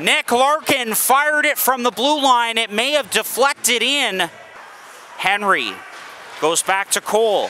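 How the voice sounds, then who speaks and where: A man speaks in a raised, projected voice at an extremely high pitch. His pace is fairly slow, with ordinary pitch variation. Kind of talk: live hockey play-by-play commentary.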